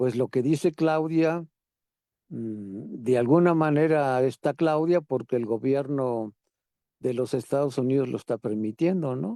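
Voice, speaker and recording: Recorded very cleanly against a silent background in a dry, close sound with no echo, a man with a dark, mellow tone and a fairly high pitch speaks very slowly with lively intonation. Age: 70s. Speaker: participant in a political discussion group. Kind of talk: group discussion.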